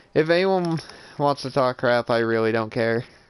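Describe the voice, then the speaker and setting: Against a quiet background, a man talks at a moderate pace and a medium pitch. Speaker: gaming streamer and reviewer. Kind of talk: live gameplay stream chat. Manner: monotone.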